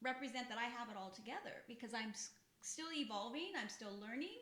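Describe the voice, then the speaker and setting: Amid noticeable background noise and audible room echo, a woman talks at a fairly quick pace in a high pitch with very wide pitch swings. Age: 50s. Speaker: podcast co-host, health background. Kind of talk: casual chat.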